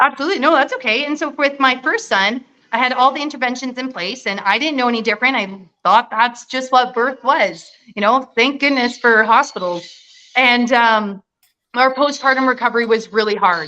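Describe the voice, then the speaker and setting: With a slight Canadian accent, a woman speaks at a high pitch in a bright, sharp tone with ordinary pitch variation. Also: fairly quick pace. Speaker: nurse. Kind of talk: interview.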